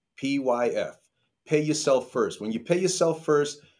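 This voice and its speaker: A plain, everyday voice from a man with an American accent, fairly high in pitch and moderate in pace, on a very clean recording with a silent background. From New York. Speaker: financial advisor. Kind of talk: interview.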